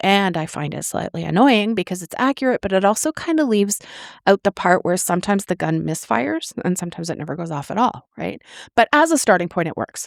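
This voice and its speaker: This woman talks at a very fast pace in a medium pitch, her voice swinging very widely up and down. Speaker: author and podcast host. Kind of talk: podcast talk. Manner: casual, conversational, with fillers.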